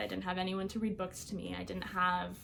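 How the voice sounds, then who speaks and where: A woman's voice with audible room echo. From Iowa, US Midwest. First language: Albanian. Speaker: college student. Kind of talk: personal interview story. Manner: casual with many fillers.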